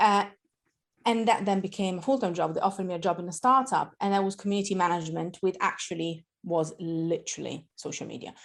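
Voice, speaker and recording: A woman with an Italian accent talks at a fairly quick pace and a medium pitch. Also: very clean recording, silent background. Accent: Italian accent, noticeable. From Italy. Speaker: marketing educator. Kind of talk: podcast interview.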